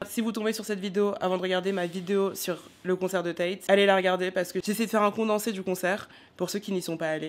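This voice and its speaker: Very fast and with monotone, flat intonation, a woman speaks at a medium pitch. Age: 20s. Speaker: vlogger. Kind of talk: casual vlog.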